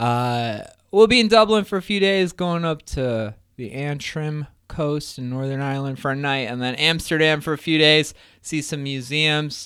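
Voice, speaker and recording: A man speaks in a plain, everyday voice, at a fairly slow pace with ordinary pitch variation. The recording is very clean, with a silent background. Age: 30s. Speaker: podcast host. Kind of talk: casual interview; show intro and outro.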